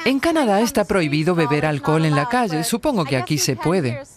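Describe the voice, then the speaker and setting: Amid noticeable background noise, a woman talks at a fairly quick pace with very wide pitch swings and very even loudness. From Canada. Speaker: tourist presenter. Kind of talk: travel vlog narration. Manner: animated.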